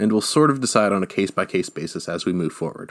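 On a very clean recording with a silent background, a man with an American accent talks very fast in a fairly low pitch with lively intonation. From United States. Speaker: history podcast host. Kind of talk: scripted narration. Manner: formal.

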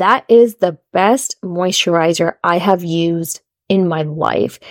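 The sound is dry and close, with no echo, as a woman speaks with an unremarkable speaking voice. Her pitch is fairly low and her intonation fairly even. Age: 30s. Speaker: podcast host. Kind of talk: solo podcast monologue.

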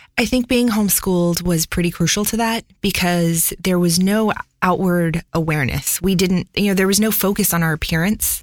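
At a moderate pace with hardly any pauses, a woman with a plain, everyday voice speaks at medium pitch with ordinary pitch variation. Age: 30s. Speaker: audio engineer and studio owner. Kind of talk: interview conversation. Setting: recording studio.

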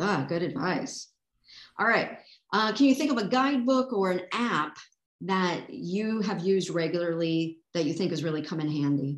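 A woman's unremarkable speaking voice, fairly low in pitch, with lively intonation and a moderate pace. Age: 50s. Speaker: podcast host. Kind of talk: casual interview.

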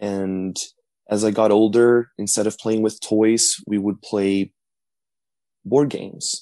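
A man with a Portuguese accent speaks at a very slow pace with long, frequent pauses. His fairly low voice has a dark, mellow tone and flat, monotone intonation. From Brazil. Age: 20s. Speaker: college student. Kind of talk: interview.

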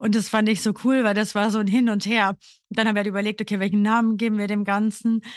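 Against a quiet background, a woman talks very fast at a fairly high pitch. Her loudness stays very even and her intonation is monotone and flat. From Austria, Burgenland. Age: 30s. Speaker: podcast co-host, grief counselor. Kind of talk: casual chat.

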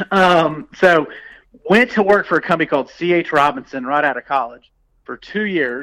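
A man's bright, sharp, fairly high voice with lively intonation and an American accent. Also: moderate pace. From US South. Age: 40s. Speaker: entrepreneur. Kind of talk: interview.

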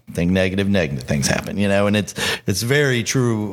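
At a fairly quick pace, a man talks in an ordinary speaking voice, fairly low in pitch with ordinary pitch variation. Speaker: bartending podcast host. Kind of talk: casual chat.

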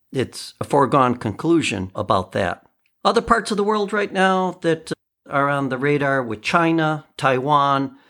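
An ordinary speaking voice from a man, fairly high-pitched and fairly slow, with lively intonation, in a very clean recording with a silent background. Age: 50s. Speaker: podcast host and musician. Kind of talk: casual solo commentary.

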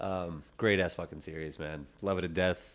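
Here a man has an ordinary speaking voice. He speaks at a moderate pace with ordinary pitch variation. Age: 20s. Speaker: podcast co-host. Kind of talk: casual chat. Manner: laid-back, slangy, laughs often.

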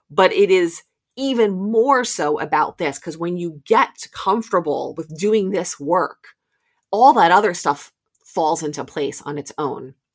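An unremarkable speaking voice, a woman talks at a fairly slow pace with lively intonation on a very clean recording with a silent background. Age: 40s. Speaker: movement coach and podcast host. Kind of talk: solo podcast monologue. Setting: home basement recording.

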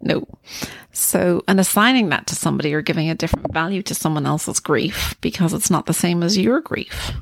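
A woman's fairly low voice with vocal fry and lively intonation. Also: fairly quick pace, dry, close sound with no echo. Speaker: podcast co-host, grief counselor. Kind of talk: casual chat. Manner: animated.

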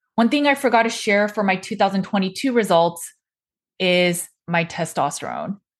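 In an unremarkable speaking voice, a woman of medium pitch speaks at a fairly slow pace with ordinary pitch variation against a quiet background. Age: 40s. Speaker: nutrition practitioner and podcast host. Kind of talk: solo explainer monologue.

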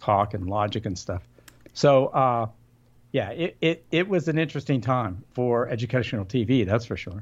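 Lively intonation marks this man's ordinary speaking voice, which is medium in pitch and set at a moderate pace. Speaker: radio consultant and author. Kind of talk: casual interview chat. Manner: humorous, joking.

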